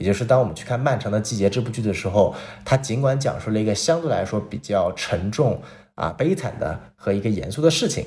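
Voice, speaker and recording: The intonation is lively and the pace fairly quick. The voice sounds somewhat breathy. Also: man, medium pitch for a man. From Northeast China. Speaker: podcast host. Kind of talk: casual chat, TV drama review.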